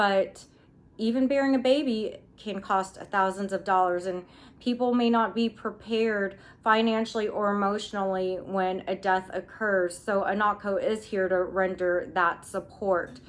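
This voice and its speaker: This is a woman speaking at a fairly slow pace. Her intonation stays fairly even. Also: medium pitch for a woman. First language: Filipino. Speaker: nonprofit founder and grief counselor. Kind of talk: recorded interview answers. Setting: self-recorded video.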